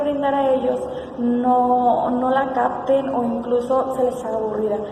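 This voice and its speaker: Background noise is noticeable throughout. Room echo is audible as well. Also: woman. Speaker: university education student. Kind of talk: class assignment self-analysis. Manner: filler words, some hesitation.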